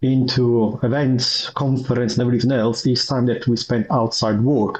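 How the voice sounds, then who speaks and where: Somewhat breathy, a man speaks with an Italian accent at a medium pitch. His pace is moderate. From Italy. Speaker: IT manager and user group vice chair. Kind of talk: podcast interview. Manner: halting, many repetitions and fillers.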